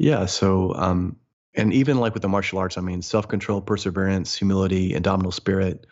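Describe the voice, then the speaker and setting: A man talks in a Midwestern American accent. His very deep, low voice keeps fairly even intonation. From US Midwest. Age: 40s. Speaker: motivational speaker and mindset coach. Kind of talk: interview conversation.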